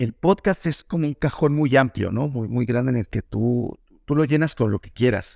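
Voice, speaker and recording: Lively intonation from a man, dry and close with no echo, on a very clean recording with a silent background. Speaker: journalist and podcast producer. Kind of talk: interview. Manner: halting.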